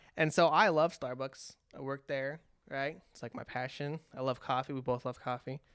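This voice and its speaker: A man speaks in an ordinary speaking voice, fairly high-pitched for a man, with fairly even intonation at a moderate pace on a very clean recording with a silent background. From California. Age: 20s. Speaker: podcast host. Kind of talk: casual chat.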